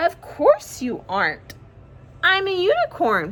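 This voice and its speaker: Delivered at a fairly slow pace, the put-on character voice is raised and projected. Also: woman, extremely high pitch for a woman. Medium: read story.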